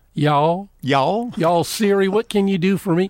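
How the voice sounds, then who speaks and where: A man does a put-on character voice, high in pitch. He drawls at a fairly slow pace. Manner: comedic, exaggerated.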